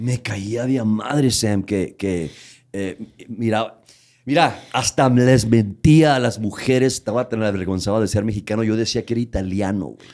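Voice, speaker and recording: Delivered at a fairly slow pace, an unremarkable speaking voice shows ordinary pitch variation. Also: man, medium pitch for a man. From Tijuana, Mexico / US border region. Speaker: comedian. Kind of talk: casual chat.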